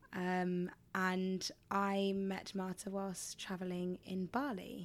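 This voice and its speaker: A woman speaks with a southern English accent. Her pace is very slow and her intonation monotone and flat. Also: medium pitch for a woman. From England. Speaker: podcast co-host, performer and personal trainer. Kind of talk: casual chat.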